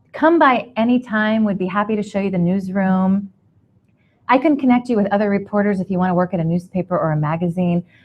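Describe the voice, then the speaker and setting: The delivery is very fast, with ordinary pitch variation. The voice is somewhat breathy. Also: woman, medium pitch for a woman. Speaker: radio host. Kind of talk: panel discussion. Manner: few filler words.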